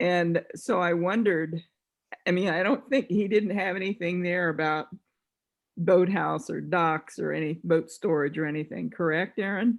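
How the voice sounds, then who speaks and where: With an American accent, a woman in an unremarkable speaking voice talks at a moderate pace, her fairly low pitch showing ordinary variation. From Washington, D.C. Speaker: conference participant. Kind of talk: video conference discussion.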